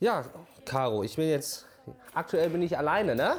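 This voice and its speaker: This man speaks with lively intonation. His pitch is fairly high. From Borkum, northern Germany. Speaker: podcast co-host. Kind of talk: casual chat.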